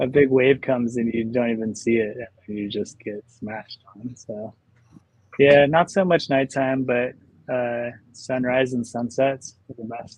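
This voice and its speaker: A man with a Southern Californian accent, medium in pitch, at a fairly slow pace with fairly even intonation. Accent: Southern California American. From Los Angeles, San Fernando Valley. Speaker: artist. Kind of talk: casual chat.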